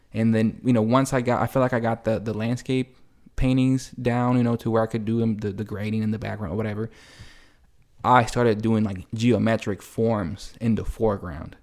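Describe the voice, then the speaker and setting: In an unremarkable speaking voice with an American accent, a man talks at a fairly quick pace with fairly even intonation on a very clean recording with a silent background. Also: medium pitch for a man. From El Salvador, split with US. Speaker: painter and muralist. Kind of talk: casual interview. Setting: home kitchen table.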